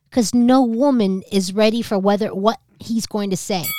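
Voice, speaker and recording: Recorded with a dry, close sound and no echo, a woman talks in a New Jersey accent. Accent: New Jersey, East Coast. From East Coast, went to high school in New Jersey. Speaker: podcast co-host, comedian. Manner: loud, brash, profane.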